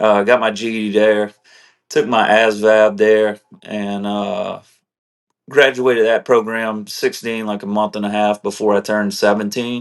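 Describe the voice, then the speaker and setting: A man's fairly low voice at a fairly slow pace, with monotone, flat intonation. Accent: South Louisiana. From South Louisiana, Morgan City. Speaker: combat veteran. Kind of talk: interview testimony. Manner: casual, many fillers.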